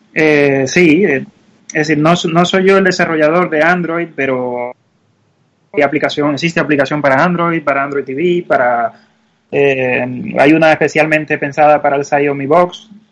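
A man with a Cuban accent, his pitch fairly high, his pace fairly slow and his intonation fairly even. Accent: Cuban, noticeable. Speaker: app developer. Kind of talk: interview. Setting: online call.

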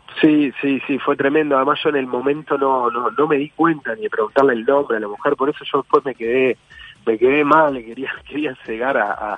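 With an unremarkable speaking voice, a man talks at a fairly quick pace, fairly high in pitch, with ordinary pitch variation. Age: 30s. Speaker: politician. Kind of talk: interview.

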